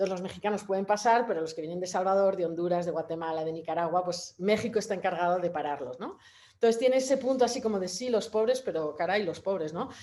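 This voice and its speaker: Rushing at a very fast pace with hardly any pauses, a woman speaks at a medium pitch in a dark, mellow tone with ordinary pitch variation. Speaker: photographer. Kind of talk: panel talk. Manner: halting, many fillers.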